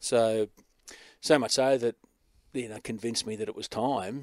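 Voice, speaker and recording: A man with an Australian accent speaks at medium pitch and a moderate pace with fairly even intonation. The sound is dry and close with no echo. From Australia (Newcastle, NSW; high school in Adelaide). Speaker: event host and speaker coordinator. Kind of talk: casual interview.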